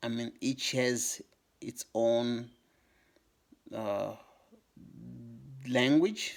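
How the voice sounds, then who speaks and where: A man with a Congolese accent speaks at a medium pitch. His pace is very slow. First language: Lingala. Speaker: YouTuber on African history. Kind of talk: educational talk to camera. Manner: halting, many fillers.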